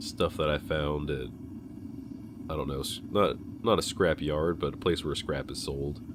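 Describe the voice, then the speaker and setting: Vocal fry runs through a delivery with fairly even intonation. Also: man. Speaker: hobby blacksmith. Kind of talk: casual voice-over narration. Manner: rambling.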